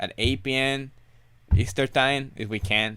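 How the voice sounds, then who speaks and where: In a very clean recording with a silent background, a man speaks with a non-native accent. His pitch is medium with ordinary variation. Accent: foreign. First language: not English. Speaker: reseller. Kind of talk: live stream Q&A. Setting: home live stream. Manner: halting.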